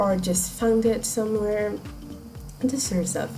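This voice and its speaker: A woman speaks with a non-native accent at a medium pitch. Audible room echo and noticeable background noise surround her voice. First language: not English. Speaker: video game YouTuber. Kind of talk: voiceover commentary on a speed build. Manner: halting, searching for words.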